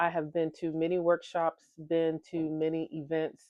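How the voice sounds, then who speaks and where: A woman's fairly low voice at a moderate pace. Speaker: engineer and vlogger. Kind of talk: motivational talk. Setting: different location with people around. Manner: projected, not too loud.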